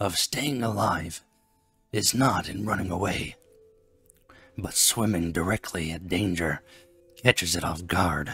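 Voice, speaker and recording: A man does a gruff, put-on character voice with a very deep, low pitch at a fairly slow pace. Long, frequent pauses break up his lines, and faint music plays in the background. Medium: read story. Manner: gruff, snappish.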